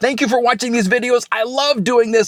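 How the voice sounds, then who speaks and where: The speech comes at a very fast pace with an animated tone and an American accent. The sound is dry and close, with no echo. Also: man. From Oklahoma. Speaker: car repair YouTuber, former newsman. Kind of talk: casual DIY video wrap-up talk. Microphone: new mic.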